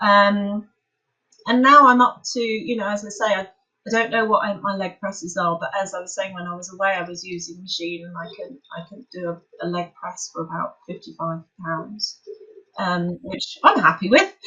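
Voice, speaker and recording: A woman speaks in an unremarkable speaking voice, with ordinary pitch variation and big swings in loudness. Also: medium pitch for a woman, moderate pace. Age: 60s. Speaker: yoga teacher. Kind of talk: interview answer.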